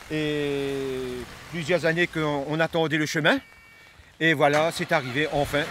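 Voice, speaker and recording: Through noticeable background noise, a man speaks very slowly in a fairly high pitch with ordinary pitch variation. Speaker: sugar cane farmer. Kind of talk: vox pop interview. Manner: halting.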